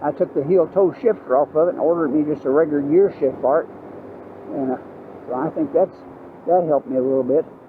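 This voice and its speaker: A man with an American accent, fairly high pitch and ordinary pitch variation, very fast pace broken by long, frequent pauses, dry sound with no echo, and noticeable background noise. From US South, Georgia. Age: 80s+. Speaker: motorcycle vlogger. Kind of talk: casual ride-along vlog monologue. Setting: outdoors riding a motorbike. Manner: halting, many fillers. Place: motorbike.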